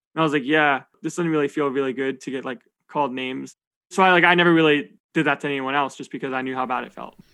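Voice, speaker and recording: Talking at a very fast pace, a man uses a bright, sharp tone with ordinary pitch variation against a quiet background. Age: 20s. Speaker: poker player. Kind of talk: casual interview chat. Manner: fast talker.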